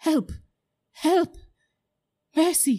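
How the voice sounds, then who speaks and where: A female-sounding voice takes on a put-on character voice. The pitch sits extremely high for a woman. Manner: pleading.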